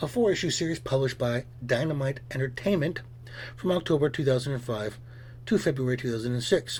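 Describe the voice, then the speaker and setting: A man with a medium pitch and a somewhat breathy voice speaks at a fairly quick pace. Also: ordinary pitch variation. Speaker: comic book reviewer. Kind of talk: scripted review. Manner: fast.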